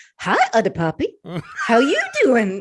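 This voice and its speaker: A female-sounding put-on character voice speaks at a moderate pace and a fairly high pitch. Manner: playful, jokey.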